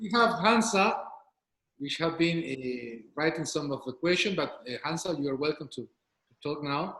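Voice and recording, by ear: A man talks at a moderate pace with a fairly high pitch and lively intonation. His tone is fairly bright, and there is audible room echo.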